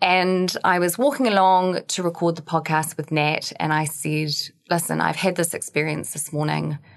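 With a New Zealand accent, the speaker talks at a moderate pace with fairly even intonation. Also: woman, fairly low pitch for a woman. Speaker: podcast co-host, fitness professional. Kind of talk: casual chat. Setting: studio.

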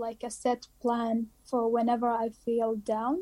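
A woman with an Arabic accent, a high pitch and a dark, mellow tone. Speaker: dentistry student. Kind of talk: interview.

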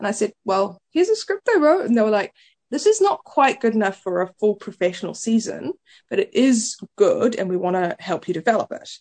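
A woman speaks at a moderate pace with a New Zealand accent. The sound is dry and close, with no echo. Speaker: playwright. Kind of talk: casual chat. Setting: radio studio.

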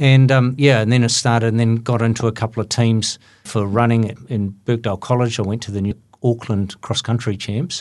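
A man with a New Zealand accent, medium in pitch, at a fairly quick pace with fairly even intonation, over a quiet background. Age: 60s. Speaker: running event organizer. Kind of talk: interview.

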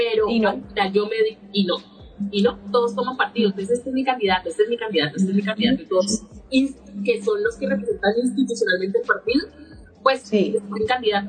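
With noticeable background noise behind her, a woman speaks very fast at a fairly high pitch with ordinary pitch variation. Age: 30s. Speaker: political candidate. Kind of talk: interview.

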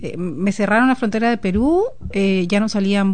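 A woman uses a normal speaking voice with lively intonation at a fairly slow pace. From Peru. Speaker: guest. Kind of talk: casual chat. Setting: studio.

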